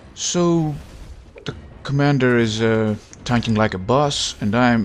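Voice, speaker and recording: With a non-native accent, a man speaks at a very slow pace, his medium pitch showing ordinary pitch variation, while music plays in the background. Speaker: gaming YouTuber. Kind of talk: casual gameplay commentary.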